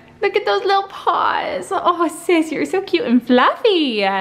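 A woman's voice at a fairly slow pace with very wide pitch swings, music in the background. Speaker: family vlogger. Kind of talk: casual vlog chat. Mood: warm, cheerful, grateful. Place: home room. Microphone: phone near.

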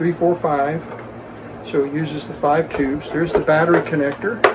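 A man speaking at a moderate pace over loud background noise. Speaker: radio repair hobbyist. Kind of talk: tutorial. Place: workshop.

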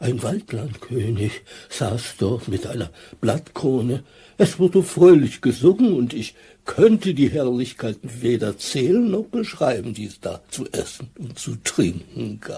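A fairly slow pace and medium pitch in a man's put-on character voice. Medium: audio drama. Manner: whiny, longing.

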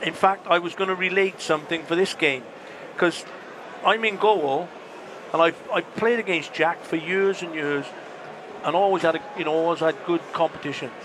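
A high-pitched man at a moderate pace with long, frequent pauses and ordinary pitch variation, amid noticeable background noise. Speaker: former footballer; former footballer guest on match commentary. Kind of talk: casual chat. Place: stadium. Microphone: headset.

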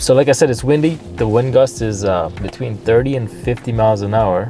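Clear music plays in the background behind a woman with a very deep, low pitch. The sound is dry, with no echo. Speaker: vlogger. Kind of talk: casual vlog chat. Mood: cheerful, relaxed. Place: car. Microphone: phone near.

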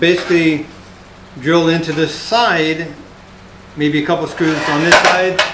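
A man talking at a fairly slow pace over loud background noise. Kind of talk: tutorial. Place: workshop. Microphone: camera far.

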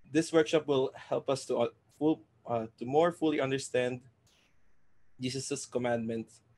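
With an American accent, a man keeps a moderate pace and fairly even intonation. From US, Florida. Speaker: workshop facilitator. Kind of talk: event hosting. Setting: video call. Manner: casual, hesitant with fillers.

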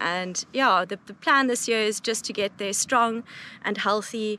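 Light background noise sits under a dry sound with no echo. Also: woman. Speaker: mountain guide. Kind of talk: interview answer. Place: open country.

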